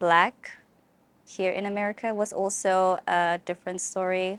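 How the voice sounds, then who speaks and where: Speech in a South African accent comes at a fairly slow pace with a monotone, flat intonation. The recording is very clean, with a silent background. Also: woman. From South Africa, Eastern Cape. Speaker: college student. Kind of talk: interview.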